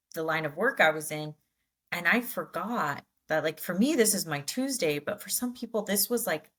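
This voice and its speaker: This woman has an unremarkable speaking voice, medium in pitch, moving at a moderate pace with lively intonation. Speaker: podcast co-host. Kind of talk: casual chat.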